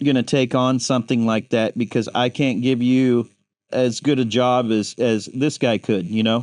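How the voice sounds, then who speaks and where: An ordinary speaking voice from a man with an American accent, medium pitch, fairly slow pace, quiet background. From western Kansas. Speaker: tattoo artist. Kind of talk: casual interview.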